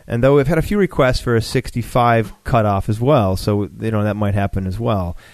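Here is a man with a normal speaking voice at a moderate pace. He shows ordinary pitch variation and hardly any pauses. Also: medium pitch for a man. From Buffalo, New York. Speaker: competition organizer. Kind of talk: casual interview chat.

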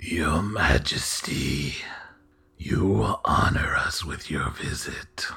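Putting on a character voice, a man speaks very slowly with a raspy, very deep, low pitch. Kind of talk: formal, deferential.

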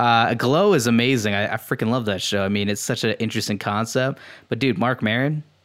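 A man talks with an unremarkable speaking voice at a fairly quick pace. His pitch is medium, with ordinary variation. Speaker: podcast host. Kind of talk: casual chat.

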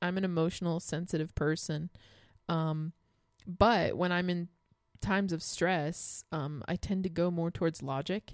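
A plain, everyday voice from a woman, fairly low-pitched and fairly slow, with fairly even intonation and a dry, close sound with no echo on a very clean recording, silent background. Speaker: podcast host. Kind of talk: casual chat.

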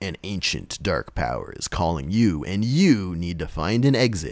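A man performs a put-on character voice with a very deep, low pitch. His delivery is dramatic, with lively intonation. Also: moderate pace. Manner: dramatic, ominous.

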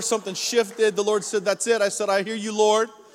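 A man speaks at a fairly quick pace in a high voice. Noticeable background noise runs under him. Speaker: pastor. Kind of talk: sermon. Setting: church stage with audience.

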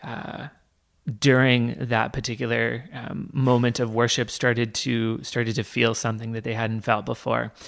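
With a Canadian accent, a normal speaking voice moves at a fairly slow pace with fairly even intonation. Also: man. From Canada, Toronto. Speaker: campus minister. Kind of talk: interview.

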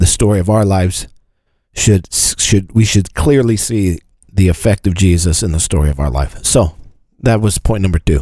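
A man's very deep, low voice carries a dark, mellow tone, somewhat breathy, at a moderate pace with ordinary pitch variation. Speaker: pastor. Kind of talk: casual chat about scripture.

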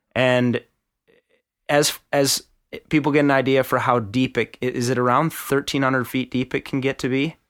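In an Upper Midwest accent, a man talks at a medium pitch and moderate pace, his intonation monotone and flat. The very clean recording is dry and close, with no echo and a silent background. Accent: Upper Midwest (Minnesota). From Minnesota. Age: 30s. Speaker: podcast host. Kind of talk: casual chat.

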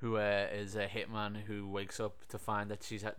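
In a fairly low, monotone and flat voice, a man talks at a fairly quick pace with audible room echo. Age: 30s. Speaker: podcast host reviewing films. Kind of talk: casual chat.

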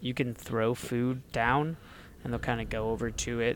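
This man has a plain, everyday voice, pitched in the medium range. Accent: American. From US North, Ohio side of the Ohio River. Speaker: gaming podcast co-host. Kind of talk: casual chat.

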